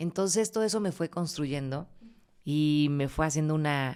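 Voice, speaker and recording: A woman talks in a very deep, low pitch with ordinary variation. The recording is very clean, with a silent background. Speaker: voice-over announcer (locutora). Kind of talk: casual interview answers, storytelling. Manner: warm, cheerful, expressive.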